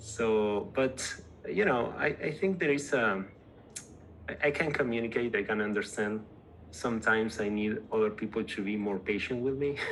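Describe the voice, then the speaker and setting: A man with a strong Spanish accent, medium-pitched, at a moderate pace, over noticeable background noise. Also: ordinary pitch variation. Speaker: tech company co-founder. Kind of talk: casual interview. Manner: halting, repeats words.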